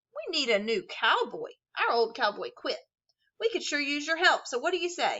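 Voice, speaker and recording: Putting on a growling character voice, a woman speaks at an extremely high pitch with very wide pitch swings at a moderate pace. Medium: read story.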